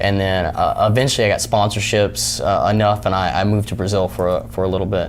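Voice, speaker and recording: A man rushes along at a very fast pace with hardly any pauses and ordinary pitch variation, over noticeable background noise. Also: fairly low pitch for a man. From Tennessee. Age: 20s. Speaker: mixed martial arts fighter. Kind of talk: interview. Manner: hesitant, many fillers.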